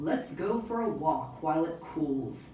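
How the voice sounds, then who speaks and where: Putting on a growling character voice, a woman speaks at a fairly low pitch and a fairly slow pace with slight echo. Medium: read story.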